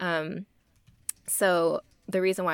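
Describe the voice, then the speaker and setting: A woman with an American accent and an unremarkable speaking voice, fairly low pitch and fairly even intonation, on a very clean recording with a silent background. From Texas. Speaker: freelance designer. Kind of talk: casual chat.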